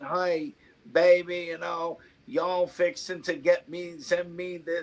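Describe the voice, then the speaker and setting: A put-on, robotic character voice in a Southern American accent, at a fairly slow pace. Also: man, high pitch for a man. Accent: fake Southern American. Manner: robotic, stilted.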